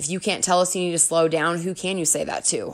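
A woman's fairly low voice in a monotone, flat delivery, on a very clean recording with a silent background. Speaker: podcast host. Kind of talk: casual solo monologue, comedic storytelling. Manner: casual, rambling, humorous.

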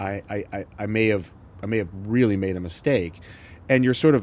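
This man has a normal speaking voice with an American accent and a fairly low pitch. He moves at a moderate pace with ordinary pitch variation. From Michigan, US Midwest. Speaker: entrepreneur and business advisor. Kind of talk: casual interview.

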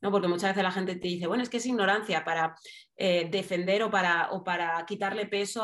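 The woman has an unremarkable speaking voice, medium in pitch, with fairly even intonation. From Madrid, Spain. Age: 30s. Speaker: writer and journalist. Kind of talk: interview.

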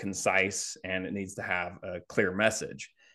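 Over a quiet background, a man speaks at a fairly slow pace in a fairly low pitch. He has an ordinary speaking voice. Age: 40s. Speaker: contractor and comedian. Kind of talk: casual chat.

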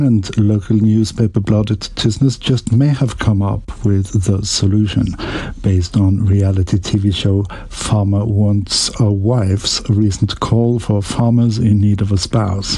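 Against noticeable background noise, a man with a fairly low pitch speaks at a fairly slow pace, with very even loudness and fairly even intonation. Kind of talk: radio newsreading. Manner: formal, even-toned, deadpan newsreader delivery; measured and dry, straight-faced humor.

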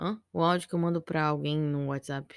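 A woman is speaking at a moderate pace. Her pitch is very deep and low. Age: 20s. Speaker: podcaster. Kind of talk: casual monologue. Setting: home at night. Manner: rambling, hesitant.

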